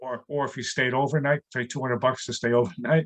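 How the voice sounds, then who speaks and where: A man with a plain, everyday voice talks at medium pitch and a fairly quick pace with fairly even intonation, the sound dry and close with no echo. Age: 60s. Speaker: comedian. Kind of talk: casual chat.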